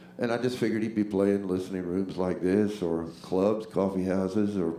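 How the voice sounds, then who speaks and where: Audible room echo surrounds a man with an American accent who speaks in a fairly low voice at a moderate pace. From US South, Jacksonville Florida. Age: 60s. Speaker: singer-songwriter and bandleader. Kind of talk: stage banter between songs. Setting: live stage with audience. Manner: halting, repetitive.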